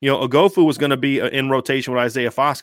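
A man with an American accent speaks fairly fast at a fairly high pitch. The recording is very clean and dry, close-sounding with no echo, against a silent background. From Ohio, Columbus. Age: 40s. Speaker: sports writer. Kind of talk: casual chat. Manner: animated.

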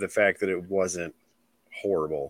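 A man with a Midwestern accent has a bright, sharp tone in a dry, close recording with no echo. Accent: general Midwestern American. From US Midwest, Illinois. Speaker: reptile keeper and podcast host. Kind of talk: casual chat. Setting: remote call.

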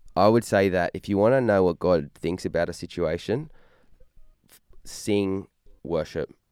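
Moderate pace in an Australian accent, with long, frequent pauses, big swings in loudness, a dry, close sound with no echo, and a very clean recording with a silent background. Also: man, very deep, low pitch for a man, ordinary pitch variation. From Australia, Newcastle NSW. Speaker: musician in a worship band. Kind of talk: casual interview.

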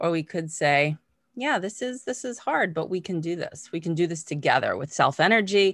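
A woman speaks at a moderate pace with an American accent, her fairly low pitch carrying lively intonation. It is an unremarkable speaking voice against a quiet background. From Massachusetts, US. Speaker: mindfulness teacher and coach. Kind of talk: interview. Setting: video call.

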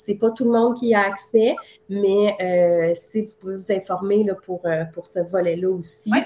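Music plays in the background as a woman speaks at a fairly slow pace with ordinary pitch variation. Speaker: marketing coach. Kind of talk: live-streamed promotional chat.

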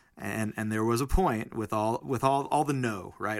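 A man with a fairly low voice, a plain, everyday voice, talks at a fairly quick pace with fairly even intonation in a very clean recording with a silent background. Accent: American. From New Jersey, Weehawken. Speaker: singer-songwriter. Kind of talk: casual chat. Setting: studio.

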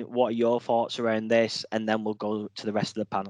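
In a plain, everyday voice, a man speaks at a moderate pace, the sound dry and close with no echo. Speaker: podcast host. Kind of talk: moderated panel discussion.

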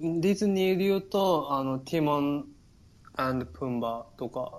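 At a fairly slow pace, a man with a Kansai accent speaks with ordinary pitch variation. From Japan, Takarazuka, Hyogo (Kansai). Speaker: Japanese expat in Norway. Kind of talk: casual chat. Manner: hesitant, many fillers.

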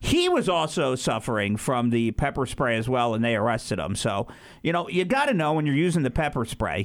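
With lively intonation and very even loudness, a man with an unremarkable speaking voice talks at a medium pitch and a fairly quick pace on a very clean recording with a silent background. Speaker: radio host. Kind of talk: morning radio show banter. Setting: studio.

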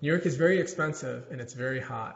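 A man's somewhat breathy voice with an American accent, fairly quick in pace, with ordinary pitch variation. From US South, North Carolina and Atlanta. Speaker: tech startup founder. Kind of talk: interview.

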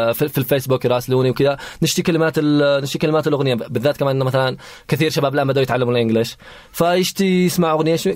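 A man races along at a very fast pace, his fairly high pitch showing ordinary variation at a very even loudness. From Yemen, Hadramawt. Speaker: nasheed singer. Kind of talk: radio interview. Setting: studio.

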